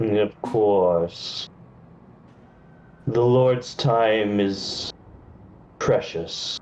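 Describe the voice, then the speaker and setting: A man's put-on character voice at medium pitch and a very slow pace, with long, frequent pauses. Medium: actual play. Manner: formal, stiff.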